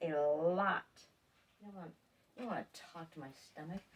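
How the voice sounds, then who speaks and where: The woman's voice sits at a fairly low pitch. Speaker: fiber farmer and knitting vlogger. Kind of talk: casual video podcast show-and-tell. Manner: hesitant, many fillers.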